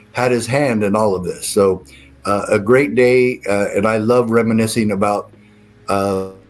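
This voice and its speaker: An American accent with fairly even intonation at a fairly slow pace, music in the background. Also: man. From Arizona. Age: 70s. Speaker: former sheriff. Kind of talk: interview. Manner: hesitant, many fillers.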